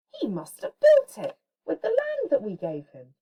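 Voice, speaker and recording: In a put-on character voice, a woman squeaks out her lines at an extremely high pitch and a moderate pace. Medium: read story. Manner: rude, insulting.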